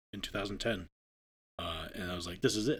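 This is a man with an American accent and an ordinary speaking voice. His pitch is fairly low, with ordinary pitch variation. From northern Maine, US. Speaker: wildlife refuge manager. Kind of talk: interview. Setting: on location at the refuge.

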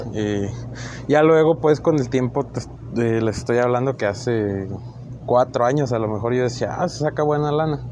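This is a man at a medium pitch. There is noticeable background noise. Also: ordinary pitch variation, moderate pace. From northern Mexico, Chihuahua. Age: 20s. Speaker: amateur podcaster. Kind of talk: solo monologue podcast. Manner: halting, many fillers.

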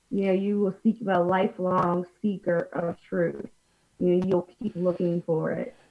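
With an American accent and an unremarkable speaking voice, a woman talks at a fairly slow pace, her pitch medium and her intonation fairly even. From US, Pennsylvania. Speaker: minister. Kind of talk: interview. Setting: video call.

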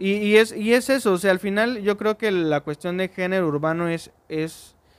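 Speaking at a moderate pace, a man uses a high pitch with ordinary variation. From Mexico, Orizaba, Veracruz. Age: 20s. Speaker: singer-songwriter. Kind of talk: casual chat.

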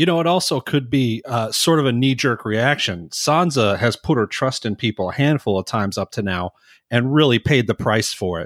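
Recorded very cleanly against a silent background, a man with a plain, everyday voice talks at a moderate pace in a medium pitch, his intonation lively and the sound dry and close with no echo. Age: 30s. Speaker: podcast co-host. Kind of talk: casual chat.

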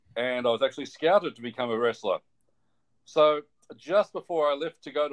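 Talking at a moderate pace, a man uses a fairly high pitch. His pitch variation is ordinary. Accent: Australian. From Australia. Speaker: physiotherapist. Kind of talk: interview.

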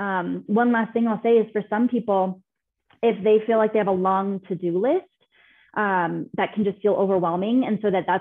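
This is an ordinary speaking voice from a woman with an American accent. She talks at a moderate pace with a fairly high pitch and fairly even intonation. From California. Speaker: business consultant. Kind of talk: interview.

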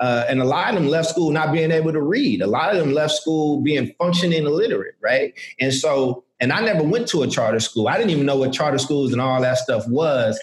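With lively intonation and very even loudness, a man talks at a fairly quick pace in a fairly high pitch. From Chicago, US. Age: 30s. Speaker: podcast host. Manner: animated, conversational.

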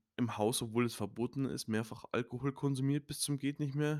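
In a very clean recording with a silent background and a dry, close sound with no echo, a man speaks with medium pitch and ordinary pitch variation. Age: 20s. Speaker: podcaster. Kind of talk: personal testimony. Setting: home studio. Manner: halting, many fillers.

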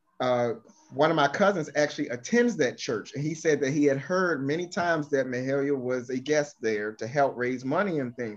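A normal speaking voice from a man, fairly high in pitch, at a moderate pace with ordinary pitch variation. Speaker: guest gospel music commentator. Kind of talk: casual interview chat. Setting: video call.

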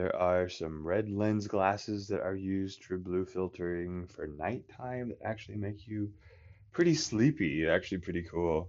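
Here a man speaks at a fairly slow pace. His pitch is very deep and low. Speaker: podcast host on epilepsy wellness. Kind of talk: solo monologue podcast. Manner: rambling, conversational; deliberately enunciated.

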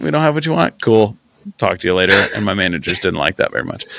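With an American accent, a man talks very fast and with vocal fry. His pitch swings very widely. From central Illinois (near Peoria). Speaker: podcast co-host. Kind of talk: casual chat. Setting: outdoors.

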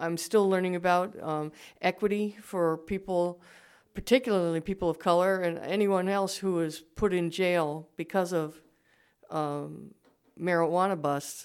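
A woman with an unremarkable speaking voice speaks at a fairly low pitch with fairly even intonation. The recording is very clean, with a silent background. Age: 60s. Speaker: writer. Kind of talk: interview.

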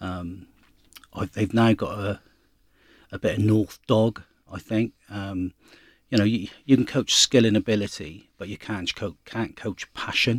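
Pausing long and often, a man speaks at a fairly slow pace and fairly low pitch with fairly even intonation, in a dry, close sound with no echo. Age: 50s. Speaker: rugby club president. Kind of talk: interview. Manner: halting, many fillers and repetitions.

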